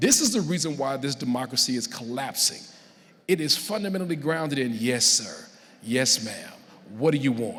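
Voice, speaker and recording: With noticeable background noise behind him, a man talks at a moderate pace, his pitch fairly high and his intonation lively. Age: 60s. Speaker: college professor, keynote speaker. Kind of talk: keynote speech.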